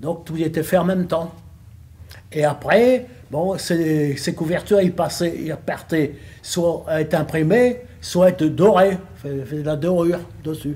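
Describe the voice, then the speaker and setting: Speaking at a fairly slow pace with long, frequent pauses, a man with a high pitch uses ordinary pitch variation. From northern France, Lille area. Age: 80s+. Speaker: retired bookbinding factory worker. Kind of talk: interview testimony. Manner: halting, hesitant with repetitions.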